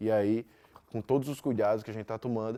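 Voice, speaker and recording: Talking at a very fast pace, a man with a Brazilian accent has a dark, mellow tone, medium pitch and monotone, flat intonation. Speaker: physics teacher. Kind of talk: lecture. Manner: loud.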